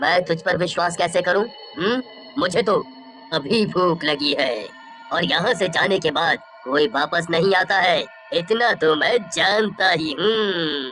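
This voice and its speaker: A cartoonish character voice at a middle pitch comes through clear background noise. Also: moderate pace. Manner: menacing, gloating.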